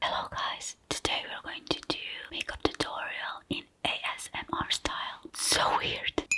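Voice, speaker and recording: Someone is whispering at a fairly slow pace. Noticeable background noise sits behind the voice. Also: woman. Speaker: makeup artist. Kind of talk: ASMR makeup tutorial voiceover. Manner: whispered.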